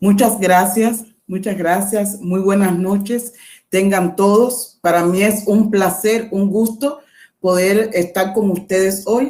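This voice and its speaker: A woman's dark, mellow voice at a medium pitch, with fairly even intonation and a very slow pace. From Cuba. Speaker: education professor. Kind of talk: lecture.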